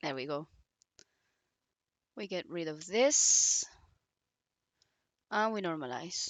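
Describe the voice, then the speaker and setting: Using lively intonation, a woman with fairly low pitch speaks at a very slow pace with long, frequent pauses. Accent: non-native. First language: not English. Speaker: modding tutorial creator. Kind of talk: tutorial. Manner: casual, hesitant.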